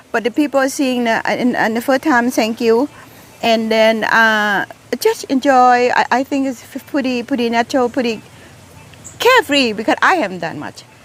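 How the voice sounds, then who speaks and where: Over noticeable background noise, a woman with a Thai accent speaks at a moderate pace in a high pitch with ordinary pitch variation. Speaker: gardening vlogger. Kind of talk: casual garden tour vlog. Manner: halting, many repeated words.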